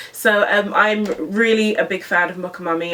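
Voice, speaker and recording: Moderate pacing from a woman, with noticeable background noise. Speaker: beauty YouTuber. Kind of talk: makeup tutorial and review. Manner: animated.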